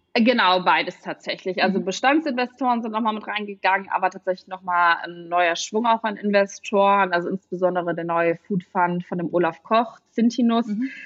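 A woman's unremarkable speaking voice, medium pitch, ordinary pitch variation, fairly quick pace with hardly any pauses. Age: 30s. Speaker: startup founder. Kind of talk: interview.

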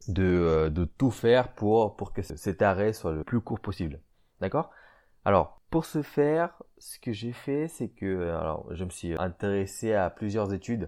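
With a fairly low pitch, a man speaks at a fairly slow pace, his intonation lively and his loudness swinging widely against a quiet background. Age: 20s. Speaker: podcast host, amateur fitness enthusiast. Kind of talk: casual solo podcast talk. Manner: halting, many repetitions and fillers.

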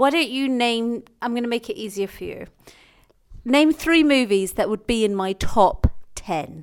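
Lively intonation from a woman with a fairly high pitch, at a fairly slow pace. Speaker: podcast co-host. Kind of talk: casual banter Q&A with spouse. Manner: playful, laughing.

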